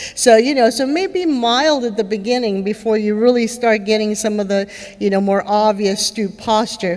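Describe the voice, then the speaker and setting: With noticeable background noise around her, a woman's fairly high voice moves at a moderate pace and varies in pitch in an ordinary way. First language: Spanish. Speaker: neurologist speaker with Parkinson's. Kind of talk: conference talk. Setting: stage with audience. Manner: conversational, many fillers.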